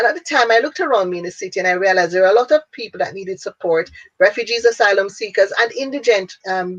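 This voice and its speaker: A woman talks at a very fast pace. She has a Jamaican accent. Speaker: businesswoman and international speaker. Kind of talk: interview.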